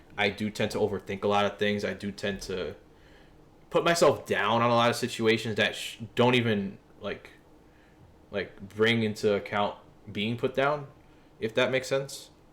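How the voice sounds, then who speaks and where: A man with a New York accent talks at medium pitch and a moderate pace. His pitch varies in an ordinary way, with long, frequent pauses. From New York City, East Harlem. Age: 20s. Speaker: streamer. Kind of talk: casual livestream chat. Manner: casual, conversational.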